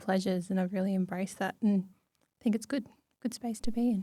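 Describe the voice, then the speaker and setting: In a very clean recording with a silent background, a woman at medium pitch speaks with an Australian accent and fairly even intonation. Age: 20s. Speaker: podcast guest. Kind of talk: casual chat. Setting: studio.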